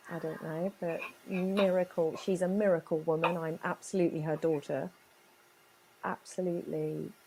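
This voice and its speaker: A woman talks at a moderate pace with a fairly low pitch. Her intonation stays monotone and flat. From born in Chile, raised in England from age six. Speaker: business owner and psychic. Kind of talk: personal life story interview.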